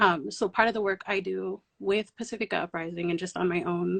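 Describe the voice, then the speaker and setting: A woman's medium-pitched voice at a fairly quick pace, with a dry, close sound and no echo. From US Pacific Northwest (Oregon), Palauan diaspora family. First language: Palauan. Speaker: community organizer. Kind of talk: panel discussion. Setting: online livestream.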